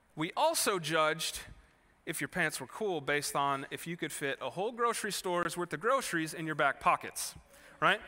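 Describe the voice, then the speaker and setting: A man with an American accent speaks at a high pitch and moderate pace, his tone bright and sharp with ordinary pitch variation. The recording is very clean, with a silent background. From Wisconsin, US Midwest (Kenosha). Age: 30s. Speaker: pastor. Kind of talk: sermon. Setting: church. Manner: casual conversational.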